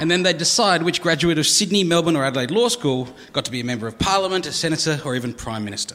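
Speaking very fast with an Australian accent, a man uses lively intonation at a fairly high pitch over noticeable background noise. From South Australia. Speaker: comedian. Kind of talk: stand-up. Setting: stage with audience.

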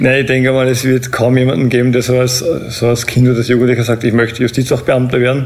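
Over noticeable background noise, a man speaks very fast at a medium pitch. His intonation is flat and monotone, and his loudness stays very even. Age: 30s. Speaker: prison officer. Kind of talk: interview.

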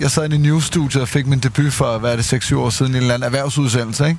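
A man with a fairly high voice talks at a very fast pace in fairly even intonation, with noticeable background noise behind him. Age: 30s. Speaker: podcast host. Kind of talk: casual chat.

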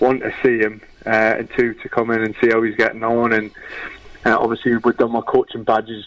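Over noticeable background noise, a man talks at a fairly quick pace in a Geordie accent with a monotone, flat intonation. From northern England, Newcastle. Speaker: former footballer and youth coach. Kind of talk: casual chat.

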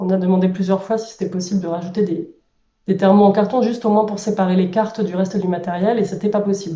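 A somewhat breathy voice with a dark, mellow tone speaks very fast in a flat, monotone way. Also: woman, medium pitch for a woman. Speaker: board game publisher employee. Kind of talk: interview.

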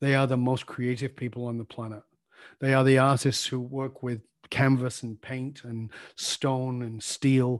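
The speaker has a northern English accent and talks at a fairly slow pace with monotone, flat intonation. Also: man, medium pitch for a man, quiet background. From northern England. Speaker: leadership coach. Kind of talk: interview.

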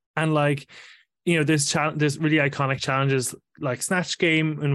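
A man with an Irish accent talks at a very fast pace against a quiet background. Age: 30s. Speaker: podcaster. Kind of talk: casual chat.

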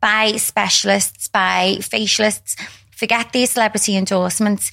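A woman's fairly high, bright and sharp voice at a fairly slow pace, on a very clean recording with a silent background. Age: 40s. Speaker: skin clinic owner. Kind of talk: interview.

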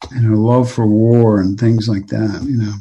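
At a fairly slow pace, a man talks in a somewhat breathy voice at a medium pitch. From Oklahoma, southwestern part. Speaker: pastor and author. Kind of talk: interview conversation. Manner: halting, many fillers.

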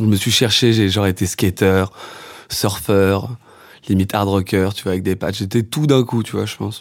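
An unremarkable speaking voice from a man, fairly low in pitch, at a moderate pace with fairly even intonation. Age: 20s. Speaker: musician and songwriter. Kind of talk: casual interview chat.

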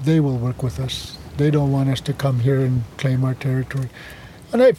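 Against noticeable background noise, a man talks in a fairly high pitch with fairly even intonation. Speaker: First Nation chief. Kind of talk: interview. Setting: outdoors on a boat.

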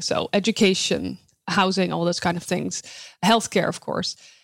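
A woman speaks with a Dutch accent. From Netherlands. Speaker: sustainability researcher. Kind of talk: interview.

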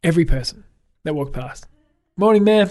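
With an Australian accent, a man speaks in a dark, mellow tone with ordinary pitch variation. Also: quiet background. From Australia, south coast of New South Wales. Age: 30s. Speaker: photographer and author. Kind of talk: casual chat.

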